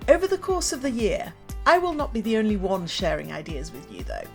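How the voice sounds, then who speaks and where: A woman at a fairly quick pace in an upbeat tone, with music in the background. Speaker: motivational speaker and former teacher. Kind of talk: podcast trailer read.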